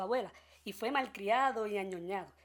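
Ordinary pitch variation runs through the woman's speech. Behind her is a silent background on a very clean recording. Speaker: podcast host. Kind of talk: comedic news commentary.

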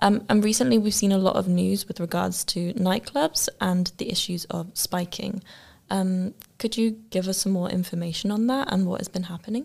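A somewhat breathy woman speaks with an English accent. Her recording is very clean against a silent background. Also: medium pitch for a woman, ordinary pitch variation, moderate pace. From UK. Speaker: student podcast host. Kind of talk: interview.

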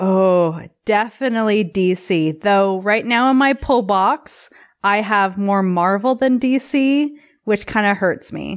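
In a Canadian accent, a woman speaks very slowly at a medium pitch with ordinary pitch variation. The recording is very clean, its background silent. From Canada. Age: 30s. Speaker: burlesque performer. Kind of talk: casual chat. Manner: animated.

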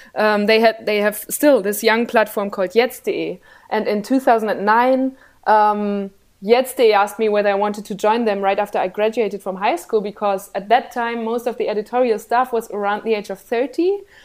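A woman with a German accent talks at a moderate pace in a fairly high pitch with fairly even intonation, on a very clean recording with a silent background. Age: 20s. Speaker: journalist and political show host. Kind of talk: interview.

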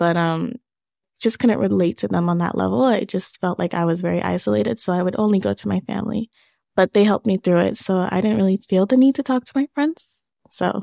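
Her tone is dark and mellow, at a medium pitch with ordinary pitch variation, as a woman speaks at a fairly quick pace. The recording is very clean with a silent background, dry and close with no echo. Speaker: young survivor sharing her story. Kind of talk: interview testimony.

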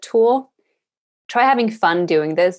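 In a Swedish accent, a woman speaks fairly slowly at medium pitch over a quiet background. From Sweden. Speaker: environmental activist and podcaster. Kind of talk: interview.

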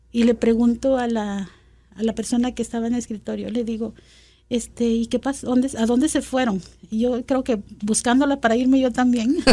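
A woman speaks at a fairly quick pace with a dark, mellow tone. Her pitch is high and her intonation fairly even. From Guatemala City. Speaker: immigrant community member. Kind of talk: personal testimony interview.

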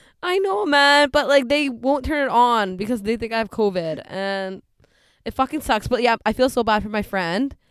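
A woman with a Canadian accent uses a normal speaking voice, fairly high in pitch, with lively intonation at a moderate pace. The recording is very clean, with a silent background. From western Canada (Delta and Surrey, British Columbia). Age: 20s. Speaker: podcast co-host. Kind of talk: casual chat.

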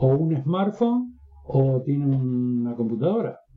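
A man's fairly high voice with ordinary pitch variation, music in the background. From northern Uruguay. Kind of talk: interview.

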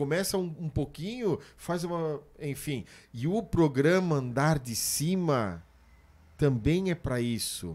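Very slowly, a man speaks in a fairly high pitch with lively intonation. The recording is very clean, with a silent background. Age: 40s. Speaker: podcast host and preacher. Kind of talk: casual chat.

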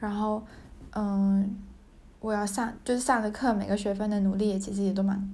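With audible room echo, a woman speaks at a moderate pace and medium pitch in a somewhat breathy, dark, mellow tone, her intonation flat and monotone. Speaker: podcaster, graduate student. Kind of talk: casual monologue. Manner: halting, many fillers.

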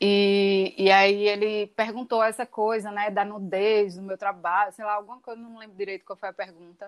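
A woman speaks in a monotone, flat intonation, with big swings in loudness. The sound is dry and close with no echo. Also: medium pitch for a woman, moderate pace. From Recife, Pernambuco, Brazil. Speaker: performance artist. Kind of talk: interview. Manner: halting.

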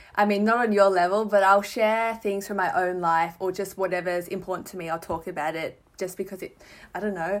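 A woman with an Australian accent and fairly even intonation, on a very clean recording with a silent background. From Melbourne, Australia. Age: 20s. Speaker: writer and fashion Instagrammer. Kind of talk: casual chat.

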